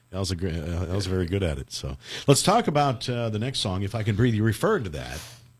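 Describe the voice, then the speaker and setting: Recorded very cleanly against a silent background, a man speaks fairly quickly in a fairly low pitch with vocal fry and very wide pitch swings. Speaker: radio host. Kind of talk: radio show hosting and interview. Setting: studio.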